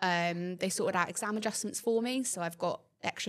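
Using a normal speaking voice, a woman talks at a fairly quick pace with ordinary pitch variation. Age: 20s. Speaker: nursing student. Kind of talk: casual interview.

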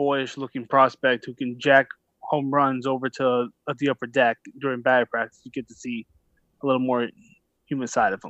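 Over a quiet background, a man with an American accent and an ordinary speaking voice talks at a moderate pace and medium pitch, the sound dry and close with no echo. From US, Philadelphia. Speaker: baseball reporter. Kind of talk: casual chat; interview.

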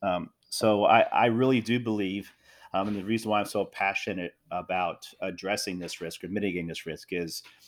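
In a very clean recording with a silent background, a man speaks in a normal speaking voice, fairly low in pitch, at a moderate pace with ordinary pitch variation. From US, South Jersey. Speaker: former defense official. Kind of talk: interview.

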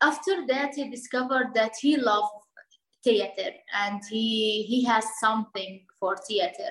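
Here a woman speaks with an Arabic accent. She keeps to a fairly slow pace. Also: fairly high pitch for a woman, ordinary pitch variation. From Lebanon, Bekaa Valley (Palestinian refugee). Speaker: NGO project manager, refugee. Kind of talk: interview. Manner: halting, with fillers and repetitions.

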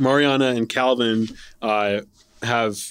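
Against a silent background on a very clean recording, a man speaks in a monotone, flat intonation. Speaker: podcast host and nonprofit executive. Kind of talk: conversational panel interview. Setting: live recording at a conference. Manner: frequent filler words.

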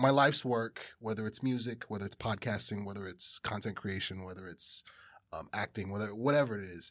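A man with an American accent at a fairly low pitch and a fairly quick pace, with ordinary pitch variation, in a very clean recording with a silent background. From New Jersey (East Orange). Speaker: rapper and podcast host. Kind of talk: casual chat. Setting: studio.

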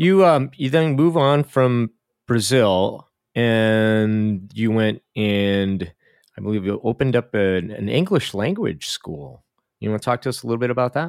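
Speaking at a fairly slow pace, a man uses lively intonation at a medium pitch. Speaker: podcast host. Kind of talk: casual chat. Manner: animated.

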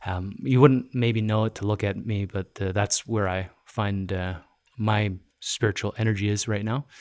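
A man with a normal speaking voice talks at a moderate pace in a fairly low pitch. His intonation is fairly even, and the recording is very clean with a silent background. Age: 40s. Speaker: podcast host and magazine publisher. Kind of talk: casual interview chat. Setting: co-working studio space.

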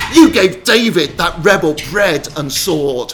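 A man's bellowing, hissing put-on character voice, high-pitched and fairly bright in tone, with lively intonation at a slow pace

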